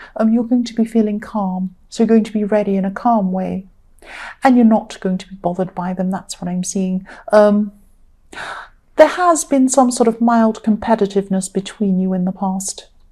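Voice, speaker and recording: At a moderate pace, the voice sounds somewhat breathy with a dark, mellow tone, big swings in loudness and ordinary pitch variation. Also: woman, medium pitch for a woman. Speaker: tarot reader. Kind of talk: tarot reading monologue. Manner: hesitant, many ums.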